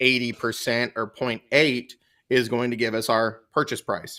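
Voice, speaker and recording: A man with an American accent speaks at a medium pitch in a bright, sharp tone on a very clean recording with a silent background. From US South. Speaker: real estate exam tutor. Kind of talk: live-stream Q&A tutorial. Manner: fast.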